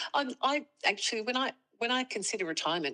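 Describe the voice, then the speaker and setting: A woman speaks with an Australian accent at a very fast pace. Her tone is bright and sharp. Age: 60s. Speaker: music teacher seeking financial advice. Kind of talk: casual chat. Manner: halting.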